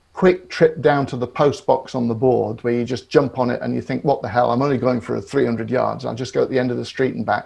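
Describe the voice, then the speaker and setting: This male voice carries a British accent. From Great Britain. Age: 60s. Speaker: psychotherapist. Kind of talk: podcast interview. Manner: halting, with repetitions.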